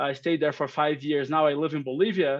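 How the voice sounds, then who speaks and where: With a Brazilian accent, a man speaks in a fairly high pitch. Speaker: company operations director. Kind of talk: webinar presentation. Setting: video call webinar. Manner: halting, many fillers.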